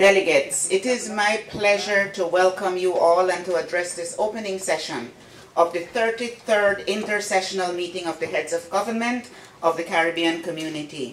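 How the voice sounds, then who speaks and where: A woman speaks at a moderate pace with ordinary pitch variation. There is audible room echo and light background noise. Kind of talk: formal speech. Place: hall. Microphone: podium.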